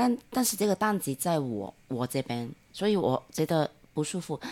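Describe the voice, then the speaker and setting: A woman with a Hong Kong accent speaks at a very deep, low pitch and a fairly slow pace with very wide pitch swings, on a very clean recording with a silent background and a dry, close sound with no echo. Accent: Hong Kong Cantonese-accented Mandarin. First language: Cantonese (speaking Chinese). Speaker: friend of the host. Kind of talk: casual chat. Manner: halting, many hesitations.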